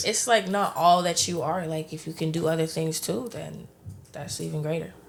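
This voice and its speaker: A woman's fairly low voice with vocal fry, a moderate pace and ordinary pitch variation. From Montreal, Canada. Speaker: rapper. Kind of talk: interview answer. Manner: casual, laid-back.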